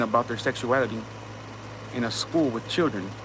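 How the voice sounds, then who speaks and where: Amid noticeable background noise, a man with an American accent speaks in an animated tone at a medium pitch with ordinary pitch variation. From US, inner city. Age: 30s. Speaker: livestream host. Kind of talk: casual livestream monologue. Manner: animated, repetitive with false starts.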